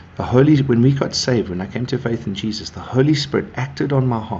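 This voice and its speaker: There is noticeable background noise while a man talks at a fairly quick pace. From South Africa (northern Zululand). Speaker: pastor. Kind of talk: devotional talk. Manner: casual, warm.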